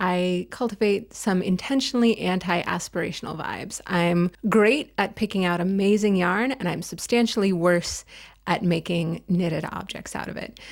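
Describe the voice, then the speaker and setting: Speaking at a moderate pace with hardly any pauses, a woman with a normal speaking voice and medium pitch comes through on a very clean recording with a silent background. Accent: American. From United States. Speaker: knitting video creator. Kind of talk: casual vlog chat.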